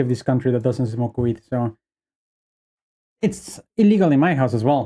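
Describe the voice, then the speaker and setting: This man's voice is fairly high in pitch, dark and mellow in tone, and moves at a moderate pace. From Bolivia. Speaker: streamer. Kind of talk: casual chat. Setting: live stream.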